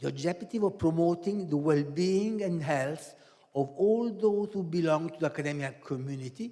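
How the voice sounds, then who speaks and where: Speaking with an Italian accent, a man uses a high pitch, ordinary pitch variation and a moderate pace. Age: 70s. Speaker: professor. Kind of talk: lecture. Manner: halting.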